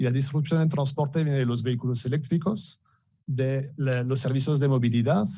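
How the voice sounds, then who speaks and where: A man with a French accent talks at a fairly quick pace in a medium pitch, his tone dark, mellow and somewhat breathy. His intonation stays fairly even, his loudness very even, and the room echo is audible. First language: French (speaking Spanish). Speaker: business director presenting at an industry event. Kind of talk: conference presentation. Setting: event hall with live audience, also streamed on video call. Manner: halting, many fillers and repetitions.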